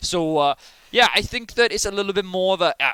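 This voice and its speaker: Over noticeable background noise, a man with a Welsh accent speaks fairly quickly at a high pitch with ordinary pitch variation, the sound dry and close with no echo. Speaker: esports caster. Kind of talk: live commentary.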